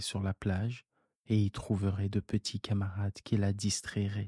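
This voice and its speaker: A man's fairly low, somewhat breathy voice with a gentle, soothing, dark, mellow tone, at a fairly slow pace with monotone, flat intonation. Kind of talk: bedtime story read aloud, soothing scripted narration. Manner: slow, soft-spoken, gentle and soothing, with tender voices for the child characters.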